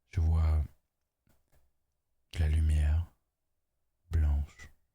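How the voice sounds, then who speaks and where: A soft-spoken man has a very deep, low pitch and a dark, mellow tone. His voice is somewhat breathy, with monotone, flat intonation. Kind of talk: ASMR relaxation talk.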